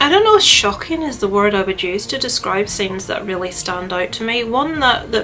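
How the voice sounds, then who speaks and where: Speaking fairly quickly against noticeable background noise, a woman's pitch rises and falls in an ordinary way. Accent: Northern Irish. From Northern Ireland. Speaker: YouTuber. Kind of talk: casual vlog chat. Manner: animated, chatty with fillers.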